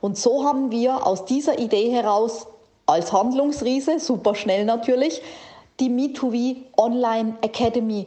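A woman with a fairly high voice and ordinary pitch variation speaks against noticeable background noise. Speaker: podcast host and keynote speaker. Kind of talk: pep talk, motivational direct address. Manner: animated, energetic.

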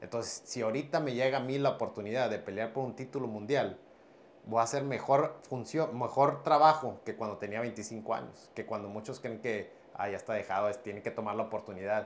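In an ordinary speaking voice, a man talks at a fairly quick pace, his medium pitch showing ordinary variation. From Piedras Negras, Coahuila, northern Mexico. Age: 30s. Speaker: professional MMA fighter and boxer. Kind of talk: casual interview.

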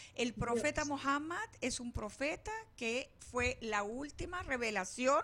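Projecting a raised voice with a bright, sharp tone, a woman speaks at a high pitch and a very slow pace with lively intonation. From Venezuela. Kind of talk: casual interview. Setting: studio.

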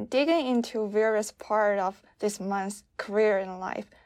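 A woman speaks with a Chinese accent and a fairly high pitch. Her intonation is fairly even on a very clean recording with a silent background. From China. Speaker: podcast host. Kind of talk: interview.

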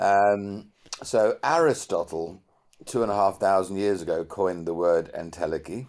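A man with a plain, everyday voice speaks at a moderate pace, his pitch fairly low with ordinary pitch variation. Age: 60s. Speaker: CEO mentor and leadership expert. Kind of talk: interview.

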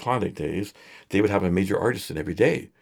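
A man in a normal speaking voice, with a Canadian accent and fairly even intonation, comes through on a very clean recording with a silent background. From Edmonton, Alberta, Canada. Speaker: singer-songwriter and photographer. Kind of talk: casual interview chat. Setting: studio.

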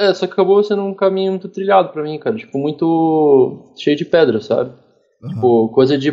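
This man has an unremarkable speaking voice, pitched fairly high. His intonation is lively and his pace moderate. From Curitiba, southern Brazil. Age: 20s. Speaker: professional esports player. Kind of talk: casual interview.

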